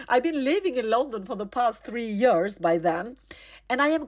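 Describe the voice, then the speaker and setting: Against a silent background on a very clean recording, a high-pitched woman with a non-native accent talks at a moderate pace in an animated tone with lively intonation. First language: not English. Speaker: storyteller. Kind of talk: personal storytelling.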